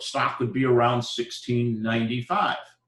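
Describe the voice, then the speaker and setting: A man is speaking. His voice is somewhat breathy. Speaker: university lecturer. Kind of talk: lecture. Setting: live classroom lecture.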